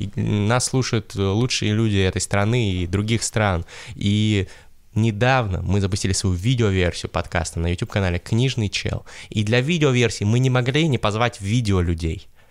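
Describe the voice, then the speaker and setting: A man talks at a moderate pace, his fairly low pitch showing ordinary pitch variation, in a very clean recording with a silent background. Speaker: podcast host. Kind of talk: casual chat. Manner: animated.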